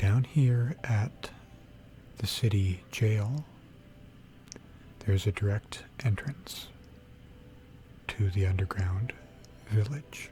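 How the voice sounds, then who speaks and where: A relaxed tone at a very slow pace, marked by long, frequent pauses. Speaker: ASMR gaming content creator. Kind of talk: ASMR gaming sleep aid, soft-spoken narration of a game tour. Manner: soft-spoken, relaxed.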